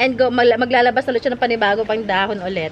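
A woman speaks at a high pitch over light background noise. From Philippines. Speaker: plant seller vlogger. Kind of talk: casual vlog sales talk. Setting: outdoors in garden. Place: garden.

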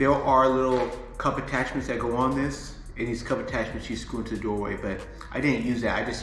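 Over music in the background and audible room echo, a man speaks at a moderate pace with fairly even intonation. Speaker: fitness coach. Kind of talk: tutorial. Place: home room. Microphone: phone near.

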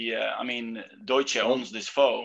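With a bright, sharp tone, a man talks at a fairly slow pace against a quiet background. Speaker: interviewer. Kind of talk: conversational, non-native English phrasing. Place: office. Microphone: earbuds.

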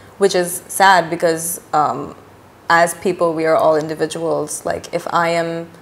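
A woman speaks in a monotone with flat intonation. Her pitch is fairly low. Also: fairly slow pace. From Pakistan, Karachi. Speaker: artist and musician. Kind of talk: casual chat. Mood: relaxed, casual. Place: home room.

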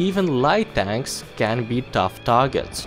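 Music plays in the background as a man talks at a medium pitch with lively intonation. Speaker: gaming video narrator. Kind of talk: game guide voice-over.

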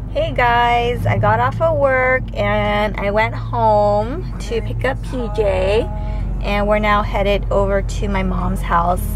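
A woman at a very slow pace, with a dry sound, no echo and noticeable background noise. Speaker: parent vlogger. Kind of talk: casual vlog chat. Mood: relaxed, cheerful. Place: car. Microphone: phone near.

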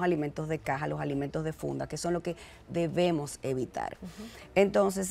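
At a fairly quick pace, a woman with a fairly low voice and vocal fry speaks with lively intonation. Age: 40s. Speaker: fitness entrepreneur; guest. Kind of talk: TV interview. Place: studio. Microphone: lapel.

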